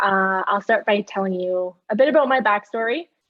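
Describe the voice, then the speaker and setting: A woman with a Canadian accent, a fairly high pitch and ordinary pitch variation. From western Canada, Calgary. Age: 20s. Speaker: patient speaker, paramedic firefighter. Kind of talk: personal testimony talk.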